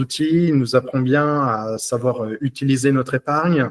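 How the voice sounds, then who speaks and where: This man's delivery is fairly slow. He keeps his intonation fairly even. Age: 20s. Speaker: police officer, coaching client. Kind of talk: testimonial interview. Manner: halting, many hesitations.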